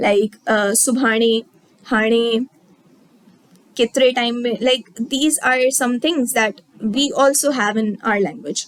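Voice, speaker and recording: A woman with a fairly high pitch speaks very slowly with long, frequent pauses, ordinary pitch variation and very even loudness. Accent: Sindhi. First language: Sindhi. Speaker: teacher. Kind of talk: lecture. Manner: halting.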